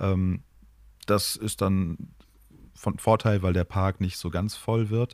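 Speech at a very slow pace with long, frequent pauses and fairly even intonation. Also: man. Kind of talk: casual chat. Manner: polished, professional-sounding delivery.

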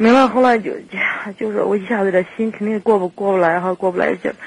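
A woman's medium-pitched voice at a very fast pace, with fairly even intonation and noticeable background noise. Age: 30s. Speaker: radio call-in caller. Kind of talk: phone-in advice conversation.

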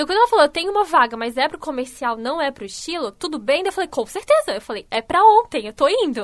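A woman's high voice, very wide pitch swings, a very fast pace and hardly any pauses. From Santa Catarina, Brazil (Canelinha, north of the state). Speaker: style consultant. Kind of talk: radio interview.

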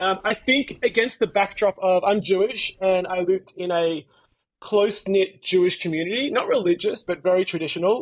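With an Australian accent, a man speaks at a high pitch. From Melbourne, Australia. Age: 30s. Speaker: life coach. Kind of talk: casual chat. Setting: video call.

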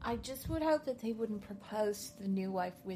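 With an Irish accent, a woman talks at medium pitch with lively intonation. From Ireland. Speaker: podcast guest, wedding blogger.

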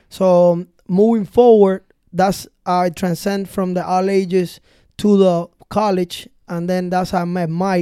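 This man has a high-pitched voice with a dark, mellow tone and a Spanish accent, captured in a very clean recording with a silent background. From Cuba. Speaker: DJ and music producer. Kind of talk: casual interview chat. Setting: recording studio. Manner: animated, energetic.

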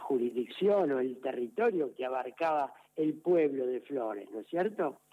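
A man speaks in a Rioplatense accent. His intonation is lively. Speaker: parish priest. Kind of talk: radio interview. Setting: phone call. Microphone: telephone line.

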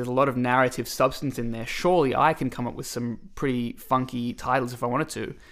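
Medium-pitched man at a fairly quick pace on a very clean recording with a silent background. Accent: Australian. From Australia, Melbourne. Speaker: singer-songwriter. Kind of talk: casual chat.

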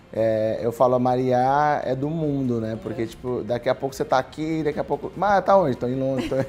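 Through noticeable background noise, a man talks at a fairly quick pace and medium pitch, with hardly any pauses and ordinary pitch variation. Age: 30s. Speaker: podcast host. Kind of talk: casual chat.

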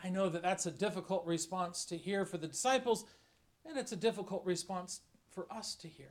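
Using a high pitch with ordinary pitch variation, a man talks at a fairly quick pace, his loudness swinging widely. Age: 50s. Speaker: bishop. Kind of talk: sermon. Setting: church.

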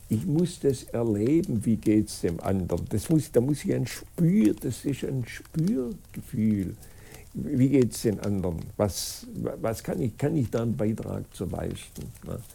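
Somewhat breathy, a man speaks in a dark, mellow tone at a very slow pace, with very wide pitch swings. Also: medium pitch for a man. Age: 80s+. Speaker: school co-founder and author. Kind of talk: interview. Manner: halting, many fillers and restarts.

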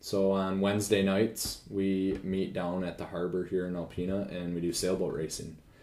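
Speaking with hardly any pauses, a man delivers his words in a very deep, low, monotone voice with flat intonation, and audible room echo surrounds him. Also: moderate pace. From northern Michigan, US. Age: 20s. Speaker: financial advisor. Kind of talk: casual interview chat. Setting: home kitchen.

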